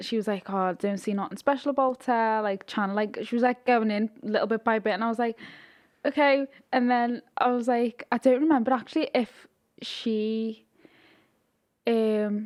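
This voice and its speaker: On a very clean recording with a silent background, a woman with a Liverpool accent and a fairly high pitch speaks at a moderate pace with fairly even intonation. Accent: Scouse. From Liverpool, England. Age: 20s. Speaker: influencer. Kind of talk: casual chat.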